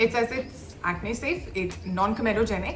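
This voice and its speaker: Music plays in the background as a woman speaks. There is audible room echo. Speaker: beauty reviewer. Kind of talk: product review. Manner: fast.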